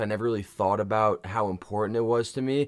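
A man's normal speaking voice, fairly low in pitch, with fairly even intonation, on a very clean recording with a silent background. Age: 20s. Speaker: fitness podcast co-host and coach. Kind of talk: casual chat.

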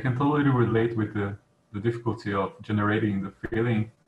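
The man's voice is somewhat breathy. His pitch rises and falls in an ordinary way. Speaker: meditation practitioner. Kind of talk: casual group discussion. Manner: halting.

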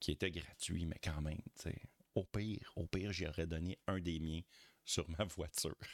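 In a Quebec accent, a man with a very deep, low voice speaks at a moderate pace with fairly even intonation, the sound dry and close with no echo. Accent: Québécois French. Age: 40s. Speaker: podcaster. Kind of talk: casual chat.

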